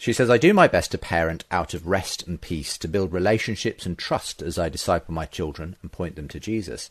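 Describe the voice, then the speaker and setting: A man with a British accent and very deep, low pitch, at a fairly quick pace with hardly any pauses, big swings in loudness, and a quiet background. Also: ordinary pitch variation. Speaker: radio podcast host. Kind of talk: casual interview. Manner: friendly, conversational.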